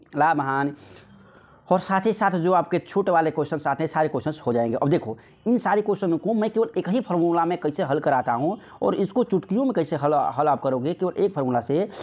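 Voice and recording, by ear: This man talks at a fairly quick pace with a fairly high pitch. His intonation is lively and his tone slightly mellow.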